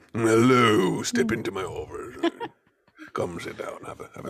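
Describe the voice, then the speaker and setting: A man performs a put-on character voice. He keeps a moderate pace, with big swings in loudness. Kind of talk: formal, scholarly, inviting.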